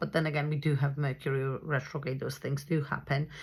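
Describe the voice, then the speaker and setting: On a very clean recording with a silent background, a woman with a non-native accent speaks at a fairly quick pace in a very deep, low pitch with vocal fry. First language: not English. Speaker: astrologer. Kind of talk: astrology forecast monologue. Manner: hesitant, many fillers.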